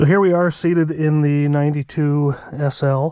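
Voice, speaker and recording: A man talks at a fairly high pitch with fairly even intonation. The recording is very clean, with a silent background. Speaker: car reviewer. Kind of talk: POV driving review. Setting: in a car. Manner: soft-spoken.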